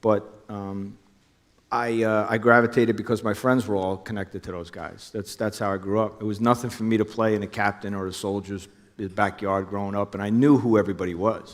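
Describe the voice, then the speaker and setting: The speaker talks at a fairly quick pace in a monotone, flat intonation with a New Jersey accent. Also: man, fairly low pitch for a man. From New Jersey, Hudson County. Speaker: former undercover police officer. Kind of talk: onstage interview. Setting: stage with audience.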